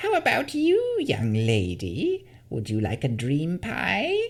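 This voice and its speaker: This creaky, put-on character voice is used for the whole clip. The delivery moves at a fairly slow pace. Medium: read story. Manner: sugary, wheedling.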